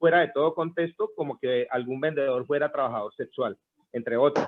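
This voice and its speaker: A man speaks at a fairly quick pace. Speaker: street vendor leader. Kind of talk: group meeting discussion. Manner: halting.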